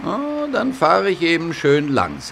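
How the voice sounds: A man does a put-on character voice at a fairly high pitch with a fairly bright tone and vocal fry. He speaks slowly with very wide pitch swings over faint background noise.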